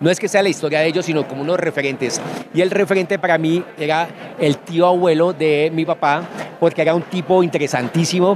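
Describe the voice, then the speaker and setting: Against noticeable background noise, a man talks at a fairly quick pace with a high pitch and fairly even intonation, the sound dry with no echo. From Colombian Llanos, Villavicencio, Meta. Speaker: writer. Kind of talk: interview. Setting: book fair. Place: hall. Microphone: handheld.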